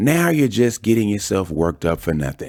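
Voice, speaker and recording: A man's put-on character voice, rumbling and fairly low, with very wide pitch swings, on a very clean recording with a silent background. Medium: read story. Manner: sarcastic, grumbling.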